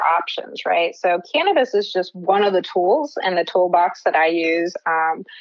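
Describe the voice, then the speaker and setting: A woman with an American accent, a normal speaking voice and medium pitch, at a fairly slow pace. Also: hardly any pauses, very even loudness. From New Jersey. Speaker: cannabis health coach, neuroscientist. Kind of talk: podcast interview.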